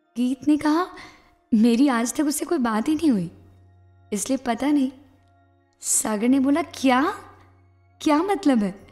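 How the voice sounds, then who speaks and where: Music sits behind a woman speaking with high pitch and lively intonation, broken by long, frequent pauses. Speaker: storyteller. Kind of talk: read story.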